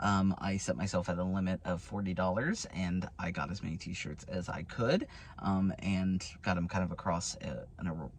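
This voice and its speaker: A man's very deep, low voice at a moderate pace, fairly even in intonation, with hardly any pauses. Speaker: vlogger and outreach worker. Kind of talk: casual vlog. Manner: loud at times; hesitant, many fillers.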